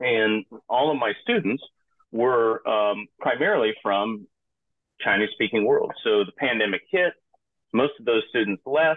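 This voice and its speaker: Here a man with an American accent talks at a medium pitch and a fairly slow pace. His pitch variation is ordinary, and long, frequent pauses break up his speech. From US South, Georgia Piedmont. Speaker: edtech director and former lecturer. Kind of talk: interview.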